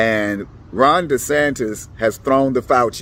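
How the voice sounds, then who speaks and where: At a medium pitch, a man speaks with lively intonation. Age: 60s. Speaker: political commentator vlogger. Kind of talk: casual political monologue to camera. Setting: at the elections office. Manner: halting, with repeats.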